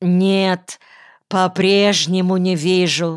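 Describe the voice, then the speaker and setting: A female-sounding put-on character voice speaks at a very slow pace in a middle pitch with monotone, flat intonation. It is a very clean recording with a silent background. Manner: mournful, drawn-out.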